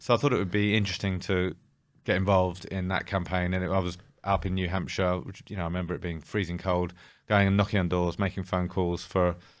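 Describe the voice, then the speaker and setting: With a British accent, a man speaks very fast in a very deep, low, monotone voice, captured in a very clean recording with a silent background. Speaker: former betting company CEO. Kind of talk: interview. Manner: hesitant, with fillers and restarts.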